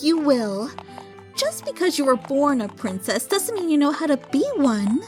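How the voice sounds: Over clear background music, a female-sounding voice does a high-pitched put-on character voice at a moderate pace.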